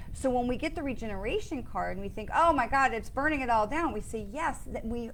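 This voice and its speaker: Animated in tone, a woman speaks at a fairly high pitch. Audible room echo surrounds her voice. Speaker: psychic medium. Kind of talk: live stream card reading. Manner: fast.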